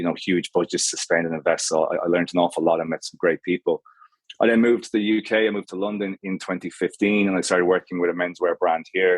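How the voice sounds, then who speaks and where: A man's very deep, low voice with an Irish accent, very fast and in a flat monotone. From Ireland, Galway. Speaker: menswear brand co-founder. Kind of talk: podcast interview. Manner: halting.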